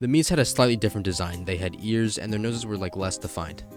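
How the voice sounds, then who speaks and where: Over music in the background, a man talks at a fairly low pitch with ordinary pitch variation. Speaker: gaming video creator. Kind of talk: casual video game commentary narration.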